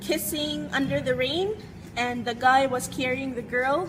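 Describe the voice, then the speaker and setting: Speaking with a Visayan Filipino accent, a woman uses a high pitch and ordinary pitch variation. She talks at a fairly slow pace. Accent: Filipino (Cebuano) English. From Cebu, Philippines. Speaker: beauty vlogger. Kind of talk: casual talk to camera. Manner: loud, hyped.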